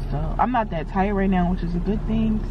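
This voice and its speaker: A woman's voice sounds dry, with no echo. Noticeable background noise runs underneath. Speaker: vlogger. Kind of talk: casual vlog chat. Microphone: phone near.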